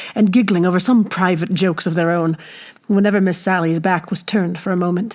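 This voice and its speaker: A woman with a normal speaking voice talks at a fairly quick pace and a medium pitch. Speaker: audiobook narrator. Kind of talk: audiobook reading.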